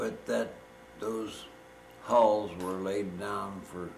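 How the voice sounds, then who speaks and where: A man with a fairly low voice speaks at a very slow pace over noticeable background noise. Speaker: World War II Navy veteran, former radio man. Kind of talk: oral history reminiscence.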